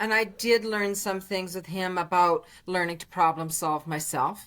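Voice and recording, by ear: A woman's fairly low, fairly bright voice at a slow pace with fairly even intonation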